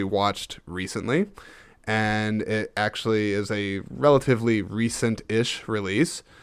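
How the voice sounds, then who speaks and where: This recording is very clean, and the background is silent. The voice carries an American accent. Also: man. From United States. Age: 30s. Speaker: podcast host. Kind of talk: casual solo podcast monologue. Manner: casual, halting with fillers and repeats.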